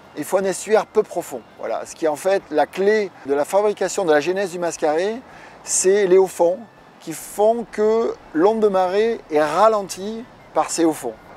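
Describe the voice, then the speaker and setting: This man talks at a fairly slow pace in a high voice, his pitch varying in an ordinary way while his loudness swings widely. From France, Dordogne (southwest). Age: 40s. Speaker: surfer. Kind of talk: interview. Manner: hesitant, many filler sounds.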